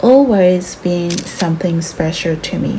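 At a fairly slow pace, a woman uses a normal speaking voice, fairly low in pitch with ordinary pitch variation, over light background noise. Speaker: stationery vlogger. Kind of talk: casual vlog narration.

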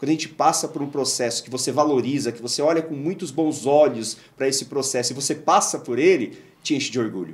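A man talks at a very fast pace with a São Paulo accent. His pitch is fairly high for a man. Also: ordinary pitch variation. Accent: Brazilian Portuguese, São Paulo. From Brazil, Guarulhos (São Paulo area); São Paulo state, Brazil. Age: 40s. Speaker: engineer and local council candidate; council candidate. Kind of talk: interview. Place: studio. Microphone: studio mic.

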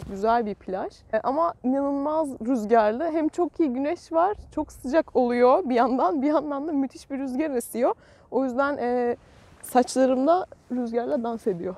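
Her dark, mellow tone rides a high pitch with lively intonation as the woman speaks at a fairly slow pace, the sound dry with no echo. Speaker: travel vlogger. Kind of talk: casual vlog chat. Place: beach. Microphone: phone near.

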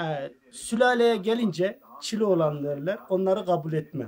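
Here a man speaks at a high pitch. His voice swings very widely in pitch. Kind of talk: casual self-introduction to camera. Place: home room.

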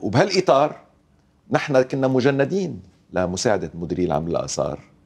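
A man's vocal fry, with very wide pitch swings and long, frequent pauses. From Lebanon. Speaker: archaeologist; guest. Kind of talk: TV interview. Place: studio. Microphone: lapel.

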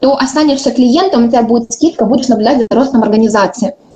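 The intonation is lively. The pace is very fast. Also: woman. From Ukraine. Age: 20s. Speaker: network marketing director. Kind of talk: conference talk. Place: home room. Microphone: webcam.

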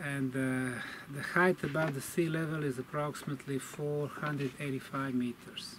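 A man's intonation stays fairly even, with noticeable noise in the background. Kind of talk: explanatory statement to camera. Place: forest. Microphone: camera far.

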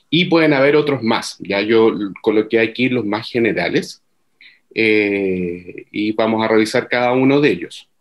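Man at a fairly slow pace with ordinary pitch variation, quiet background. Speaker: workshop presenter on journal indexing; presenter. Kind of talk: online workshop presentation. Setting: video call. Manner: halting, many fillers and repeats. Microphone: video call.

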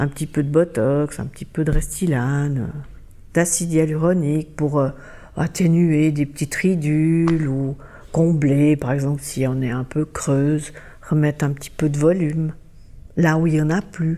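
Her voice very deep and low with a dark, mellow tone, a woman speaks fairly slowly with fairly even intonation. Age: 60s. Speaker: interviewee. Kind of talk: interview.

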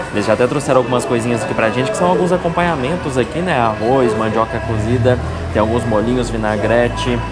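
A man speaks fairly quickly while loud music fills the background. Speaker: food vlogger. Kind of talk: casual vlog chat. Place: bar. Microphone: lapel.

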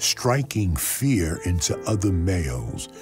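A man speaks at a very slow pace, his pitch swinging very widely. Music plays in the background. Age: 80s+. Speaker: web series narrator. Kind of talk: comedic encyclopedia narration.

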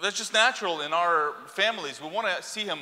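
Against a quiet background, a man speaks at a moderate pace in a high, bright, sharp voice. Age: 40s. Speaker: preacher. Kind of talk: sermon. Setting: church. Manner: halting. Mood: earnest, personal storytelling. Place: church. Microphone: lapel.

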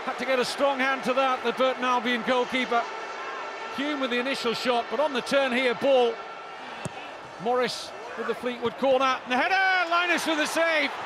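Raised and projected, a man's extremely high voice moves at a moderate pace with ordinary pitch variation and long, frequent pauses, the sound dry with no echo and noticeable background noise behind it. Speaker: football commentator. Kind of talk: live football commentary. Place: stadium.

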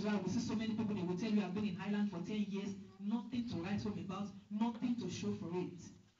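A woman speaks at a very fast pace with fairly even intonation. Room echo is audible. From Africa. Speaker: preacher. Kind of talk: sermon. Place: church.

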